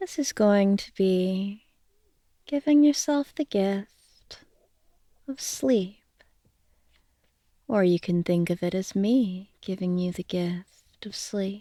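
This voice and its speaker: Her medium-pitched voice has a dark, mellow tone and lively intonation, with a very slow pace and long, frequent pauses. The woman's sound is dry and close, with no echo. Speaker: hypnotist. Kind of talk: bedtime hypnosis sleep story. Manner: soft, slow, relaxing.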